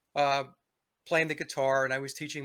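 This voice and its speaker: A bright, sharp tone in a New York accent, on a very clean recording with a silent background. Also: man. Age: 60s. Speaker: musician and commentator. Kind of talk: interview.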